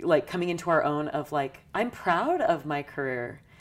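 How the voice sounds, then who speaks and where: With an American accent, a woman speaks at a moderate pace in a very deep, low pitch. The recording is very clean, with a silent background. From US West, St. George, Utah. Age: 30s. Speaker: churchgoer sharing faith story. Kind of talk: interview testimony. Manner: hesitant with many fillers.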